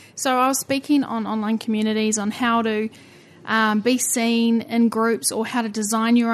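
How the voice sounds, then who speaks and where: With a New Zealand accent, a woman speaks at a fairly high pitch in a monotone, flat intonation. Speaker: podcast host. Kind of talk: interview, casual chat.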